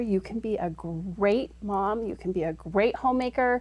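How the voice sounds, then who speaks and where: A woman with an American accent uses a plain, everyday voice at a medium pitch, her intonation lively. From Utah, Salt Lake area. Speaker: startup executive. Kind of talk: interview.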